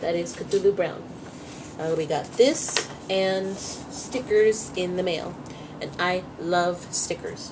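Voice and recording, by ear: A woman speaks slowly at a fairly low pitch, her intonation fairly even, with clear background noise behind her.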